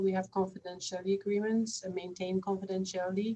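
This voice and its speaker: The woman's voice sits at a medium pitch with fairly even intonation. She talks at a fairly quick pace. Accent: non-native. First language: not English. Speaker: researcher. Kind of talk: panel discussion. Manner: halting.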